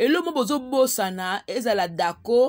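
Speech with lively intonation comes at a fairly slow pace on a very clean recording with a silent background. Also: woman. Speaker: online chronicler / YouTube host. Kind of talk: casual vlog monologue. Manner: animated.

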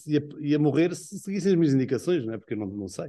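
The voice has a dark, mellow tone and comes in an Azorean accent. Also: man, quiet background. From Azores, São Miguel; Azores. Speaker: tv series director. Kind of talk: interview. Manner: halting. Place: home room. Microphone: video call.

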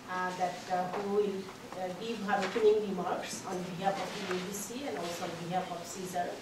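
A woman speaks at a moderate pace. Noticeable background noise and audible room echo fill the recording. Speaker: conference organizer introducing speaker. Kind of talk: formal introduction. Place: meeting room. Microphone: camera far.

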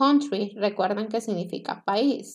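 A woman speaks with a Spanish accent. The background is quiet. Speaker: English teacher. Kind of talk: lecture. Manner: slow. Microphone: webcam.

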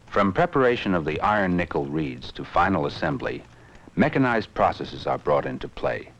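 With vocal fry and a very deep, low pitch, a man talks at a fairly quick pace, his pitch swinging very widely. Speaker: film narrator. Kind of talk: 1960s industrial film narration. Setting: archive film soundtrack. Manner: formal, measured, authoritative; steady, even-paced, dry.

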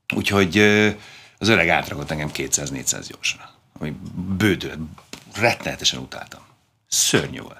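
A man with a very deep, low pitch and vocal fry speaks at a moderate pace in a bright, sharp tone, with lively intonation and long, frequent pauses. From Hungary, Budapest; Hungary. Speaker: former competitive swimmer; guest. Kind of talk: interview. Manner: halting, many fillers. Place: studio.

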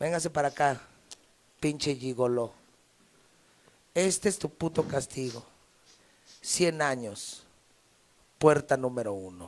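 A man at a medium pitch, slow pace and ordinary pitch variation, with long, frequent pauses

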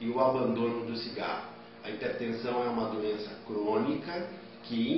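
A man at a moderate pace, with strong room echo and light background noise. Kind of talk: health advice statement for TV news. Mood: calm, serious, advising. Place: office. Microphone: phone near.

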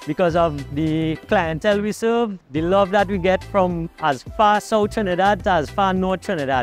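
Faint music plays in the background of a dry recording with no echo. A man speaks at a high pitch and a moderate pace with ordinary pitch variation. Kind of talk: interview answer. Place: street. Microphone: lapel.

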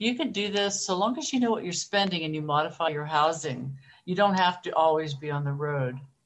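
With lively intonation and a fairly low pitch, a woman talks at a fairly quick pace amid audible room echo. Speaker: early retiree and travel blogger. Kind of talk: casual interview.

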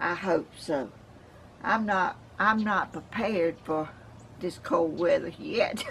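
A somewhat breathy woman with a Southern US accent, lively intonation and a very slow pace, over light background noise. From Georgia, US South. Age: 80s+. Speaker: home gardener. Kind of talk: casual talk to camera. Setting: outdoors. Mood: warm, cheerful. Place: garden. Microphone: camera far.

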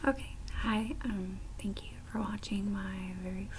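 Noticeable background noise runs through the clip. The woman's delivery is fairly slow. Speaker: tapping video maker. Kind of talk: casual ASMR talk to camera, tapping video. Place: home room. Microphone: webcam.

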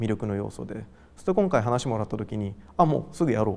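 A man is speaking at a fairly quick pace. His pitch varies in an ordinary way. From Japan, Gifu (Hida-Takayama), later Tokyo; Japan. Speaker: artist. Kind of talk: interview. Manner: casual, hesitant with fillers. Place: hall. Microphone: lapel.

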